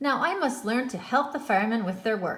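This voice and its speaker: Using a put-on character voice, a woman talks at a fairly quick pace with a high pitch. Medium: read story. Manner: earnest.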